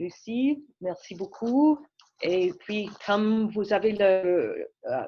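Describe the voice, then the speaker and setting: A woman speaks very slowly in a fairly high, somewhat breathy voice with a dark, mellow tone. Her pitch varies in an ordinary way. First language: English (speaking French). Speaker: public health physician. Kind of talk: presentation introduction. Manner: halting.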